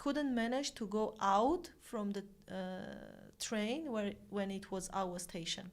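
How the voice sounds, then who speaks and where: A woman speaks very slowly with lively intonation. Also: medium pitch for a woman. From Armenia. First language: Armenian. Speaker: volunteer and colleague. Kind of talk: casual chat.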